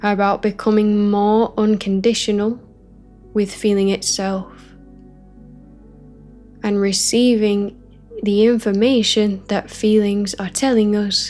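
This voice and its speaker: A woman's medium-pitched, calm, soothing voice at a very slow pace, monotone and flat, with long, frequent pauses and music in the background. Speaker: spiritual teacher. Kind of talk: guided spiritual teaching session, ASMR-style. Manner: calm, soothing, slow.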